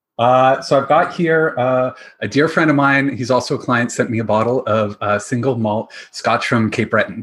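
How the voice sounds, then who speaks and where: A man with a Canadian accent uses an ordinary speaking voice at a medium pitch, with ordinary pitch variation and a moderate pace. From Ontario, Canada (London, Ontario). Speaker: financial advisor specializing in responsible investing. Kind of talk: casual interview chat.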